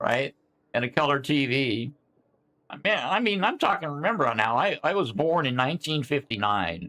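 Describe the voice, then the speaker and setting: This man's fairly high voice has a bright, sharp tone, very wide pitch swings and vocal fry. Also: moderate pace. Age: 60s. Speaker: sim racing game streamer. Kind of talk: casual chat. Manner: halting.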